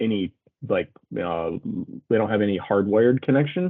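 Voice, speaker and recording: Delivered at a fairly quick pace, the speech has lively intonation. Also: man. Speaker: vendor presenter demoing software. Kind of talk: product demo and Q&A. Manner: fast.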